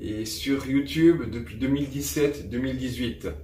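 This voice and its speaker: A man's medium-pitched voice, very slow in pace, with ordinary pitch variation and audible room echo. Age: 30s. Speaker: woodworking maker and youtuber. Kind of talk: self-introduction to camera.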